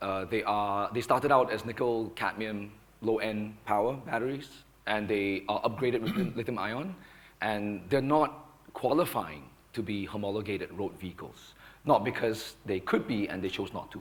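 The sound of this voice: A man speaks at a moderate pace with few pauses. His pitch is fairly low, with ordinary variation.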